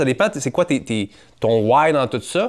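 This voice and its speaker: In a very clean recording with a silent background, a man with a Quebec accent speaks with very wide pitch swings. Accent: Québécois French. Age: 30s. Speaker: entrepreneur and podcaster. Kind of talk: casual interview conversation.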